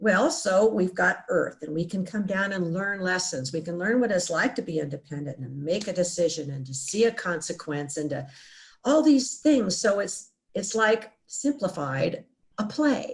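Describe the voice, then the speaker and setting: Somewhat breathy, a woman speaks at a medium pitch with very wide pitch swings. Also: moderate pace. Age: 70s. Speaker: near-death experience survivor. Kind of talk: interview. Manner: halting.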